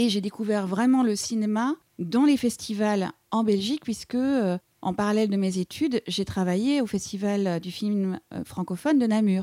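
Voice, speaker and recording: A woman's dark, mellow voice at a fairly slow pace, dry and close with no echo. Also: medium pitch for a woman, ordinary pitch variation, very clean recording, silent background. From East Belgium, German-speaking region near Eupen. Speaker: film director. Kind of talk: interview. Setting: studio.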